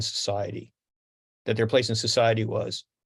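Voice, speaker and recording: There is a quiet background as a man speaks at a medium pitch. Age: 70s. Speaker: radio host. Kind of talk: interview. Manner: halting.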